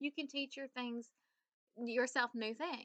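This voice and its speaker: With a Southern US accent, a woman speaks at a high pitch in a bright, sharp and animated tone, recorded with a dry, close sound and no echo. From US South. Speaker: business coach. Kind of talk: tutorial.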